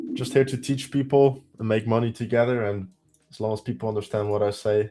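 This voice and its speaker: Speaking at a fairly quick pace, a man with a strong Dutch accent has a dark, mellow tone, medium pitch and fairly even intonation. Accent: heavy Dutch. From Netherlands. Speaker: day trader teaching trading. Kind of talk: live stream trading tutorial. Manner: casual, thinking aloud.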